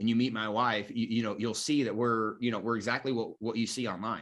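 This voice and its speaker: An energetic tone comes through at a fairly quick pace against a quiet background. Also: man. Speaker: marketing coach for life coaches. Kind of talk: online course lecture. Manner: loud and energetic; filler-heavy, halting.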